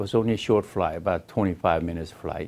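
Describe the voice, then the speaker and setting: A man speaks in a Korean accent. His pitch is very deep and low. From South Korea. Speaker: Korean-American immigrant. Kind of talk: personal life story interview. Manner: halting.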